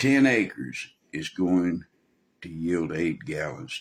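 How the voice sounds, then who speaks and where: A man speaks in a very deep, low pitch. He has a strong Texan accent. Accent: Texan, pronounced. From Texas. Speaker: preacher. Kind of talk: sermon. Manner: casual, folksy.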